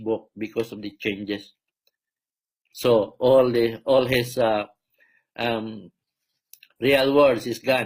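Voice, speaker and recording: A man with a Filipino accent speaks very slowly at a medium pitch, his intonation monotone and flat. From Philippines. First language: Filipino language. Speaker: self-proclaimed preacher and healer. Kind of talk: religious monologue. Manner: halting, many fillers.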